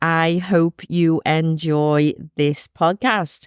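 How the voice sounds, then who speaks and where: A woman's voice comes across with a dry, close sound and no echo. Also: very clean recording, silent background. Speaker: psychic medium podcaster. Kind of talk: podcast monologue, storytelling.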